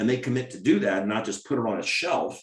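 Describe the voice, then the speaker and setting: A man talks at a fairly quick pace with ordinary pitch variation. It is an ordinary speaking voice. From US, Maryland. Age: 60s. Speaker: doctor. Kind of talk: Q&A webinar answering questions.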